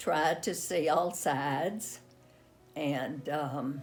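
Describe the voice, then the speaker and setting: A woman speaks with a very deep, low pitch and ordinary pitch variation. Music plays in the background. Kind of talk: interview answer. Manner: slow, reflective.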